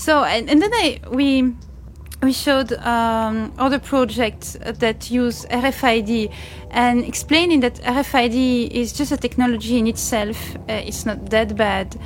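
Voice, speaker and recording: A woman talks at a very slow pace amid audible room echo. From Belgium. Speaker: media art blogger. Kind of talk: interview. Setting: conference venue.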